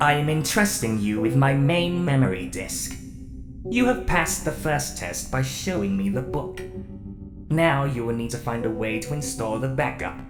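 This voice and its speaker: This is a put-on character voice at a moderate pace. Loud music plays in the background. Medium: fan dub. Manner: formal, measured, no contractions.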